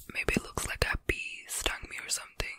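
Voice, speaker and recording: A soft-spoken woman whispers over noticeable background noise. The sound is dry with no echo. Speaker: ASMR creator. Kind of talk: soft whispered ASMR chat. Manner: soft, close-mic ASMR whisper. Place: home room. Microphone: studio mic.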